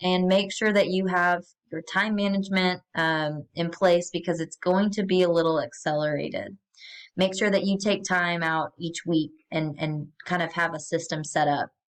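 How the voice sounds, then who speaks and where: The woman's voice sits at medium pitch. She speaks in a normal speaking voice. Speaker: college math instructor. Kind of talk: course welcome video tutorial. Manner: casual with many fillers.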